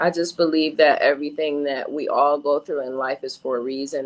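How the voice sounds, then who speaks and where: A woman's voice with an American accent at a moderate pace. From Rochester, New York and DMV area. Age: 40s. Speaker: domestic violence survivor. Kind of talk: interview testimony.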